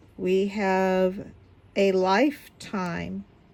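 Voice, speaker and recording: A woman's voice at medium pitch. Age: 60s. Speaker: YouTuber, diamond painting and Bible study. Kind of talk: casual vlog chat. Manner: hesitant with frequent fillers.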